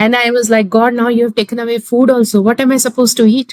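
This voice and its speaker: Her pitch is high and her pace very fast. The woman's sound is dry and close, with no echo. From North India. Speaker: healing journey guest. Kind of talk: personal testimony in interview. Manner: animated.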